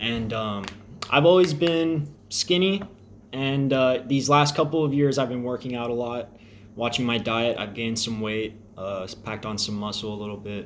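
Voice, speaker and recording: With an American accent, a man of medium pitch uses an ordinary speaking voice at a moderate pace with ordinary pitch variation. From Texas (Crosby, near Houston). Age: 20s. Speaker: air force service member vlogging about diabetes. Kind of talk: personal vlog. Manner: casual, with frequent fillers.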